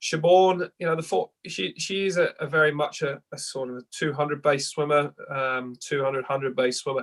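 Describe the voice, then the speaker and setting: The sound is dry and close with no echo as a man with a London accent speaks at a fairly high pitch with ordinary pitch variation. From England, East London. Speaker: head swim coach. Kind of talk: podcast interview. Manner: halting, many repeats.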